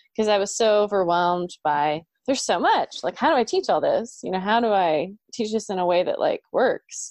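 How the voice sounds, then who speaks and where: In a plain, everyday voice, a woman with an American accent speaks at a moderate pace and medium pitch with lively intonation against a quiet background. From Oklahoma. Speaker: elementary music teacher. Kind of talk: casual chat.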